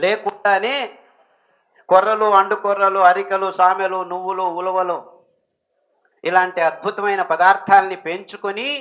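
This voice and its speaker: A man's bright, sharp voice sits at a high pitch, with monotone, flat intonation. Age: 60s. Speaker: millet diet advocate. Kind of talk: public speech on health and diet.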